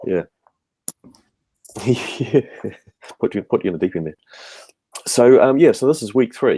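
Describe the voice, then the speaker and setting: A man with a medium pitch and a dark, mellow tone speaks at a moderate pace, with vocal fry and lively intonation. Loudness swings widely, pauses are long and frequent, and the sound is dry and close with no echo. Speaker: webinar host, educator. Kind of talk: webinar discussion. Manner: hesitant, many fillers.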